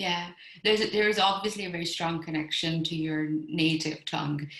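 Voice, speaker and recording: Fairly quick speech with fairly even intonation and audible room echo. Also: woman, fairly low pitch for a woman. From Bombay, India. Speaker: event host. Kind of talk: interview.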